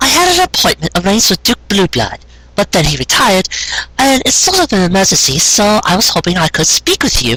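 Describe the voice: Soft-spoken and at a fairly quick pace, this put-on character voice has a bright, sharp tone. Its pitch swings very widely, and a slightly husky edge comes through.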